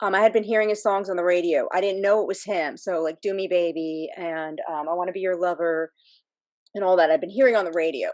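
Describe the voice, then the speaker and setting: A woman's medium-pitched voice with an American accent and ordinary pitch variation. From US South, Miami, Florida. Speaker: fan community member. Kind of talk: personal story in casual group chat.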